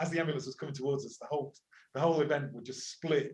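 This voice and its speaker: A man's fairly high, somewhat breathy voice with an English accent and monotone, flat intonation. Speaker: university lecturer and climate activist. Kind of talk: interview conversation. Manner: hesitant, with repetitions.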